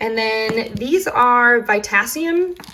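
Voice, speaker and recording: Noticeable background noise lies beneath speech with ordinary pitch variation. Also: woman. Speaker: chronic illness vlogger. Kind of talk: casual talk to camera. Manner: hesitant, halting.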